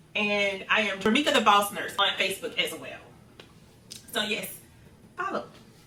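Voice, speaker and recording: Noticeable background noise beneath a woman's fairly high voice with ordinary pitch variation. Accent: American. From US South, Central Florida. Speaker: nurse and content creator. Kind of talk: casual Q&A vlog.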